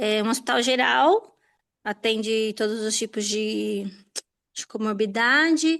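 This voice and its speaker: A woman speaks in a normal speaking voice at a fairly high pitch and fairly slow pace. The sound is dry and close with no echo, over a quiet background. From São Paulo, ABC region, Brazil. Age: 30s. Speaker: hospital pharmacist. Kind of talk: self-introduction in online class.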